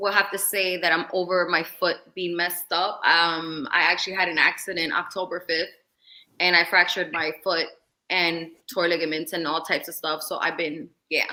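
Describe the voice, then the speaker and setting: A woman with a New York accent speaks in a fairly low pitch. Her intonation is monotone and flat. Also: moderate pace. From New York City. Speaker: visual artist and content creator. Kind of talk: casual chat.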